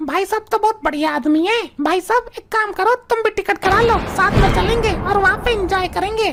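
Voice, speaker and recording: The voice is a cartoonish character voice. It proceeds at a moderate pace. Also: woman, extremely high pitch for a woman. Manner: chatty, bragging.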